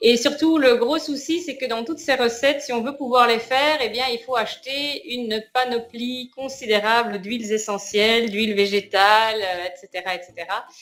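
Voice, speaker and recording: Her pitch is high, and this woman talks at a moderate pace. She has ordinary pitch variation and hardly any pauses. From Belgium. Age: 40s. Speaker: course participant giving testimonial. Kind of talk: interview. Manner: halting.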